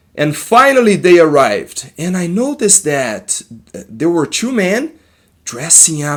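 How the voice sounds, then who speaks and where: Speaking very slowly, a man with a Brazilian accent makes very wide pitch swings. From Brazil, Minas Gerais. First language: Portuguese. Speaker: therapist. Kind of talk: personal testimony. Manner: halting.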